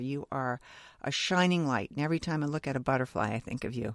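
The recording is very clean and dry, close-sounding with no echo over a silent background. Speech comes at a fairly quick pace with ordinary pitch variation. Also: woman. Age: 60s. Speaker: podcast host, actor and voiceover. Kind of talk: casual chat.

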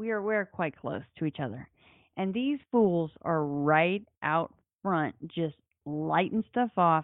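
This woman speaks at a very slow pace, her pitch swinging very widely. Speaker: podcast host. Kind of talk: casual chat.

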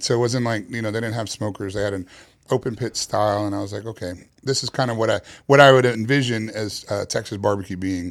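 A very fast-paced man with fairly low pitch, fairly even intonation and an American accent, on a very clean recording with a silent background. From New York City, Queens. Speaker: barbecue pitmaster. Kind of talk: casual interview.

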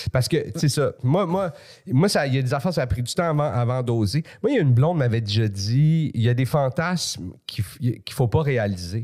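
With a dark, mellow tone and a somewhat breathy quality, a man talks at a fairly quick pace and a medium pitch, his intonation lively and his loudness very even. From Quebec (Montreal, then Laval suburbs). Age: 40s. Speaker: comedian. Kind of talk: casual chat.

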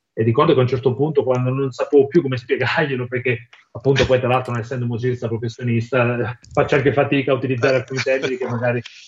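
A man talks at a very fast pace in a monotone, flat delivery. His voice is somewhat breathy. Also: medium pitch for a man. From southern Italy, Campania. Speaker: musician, songwriter. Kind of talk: interview.

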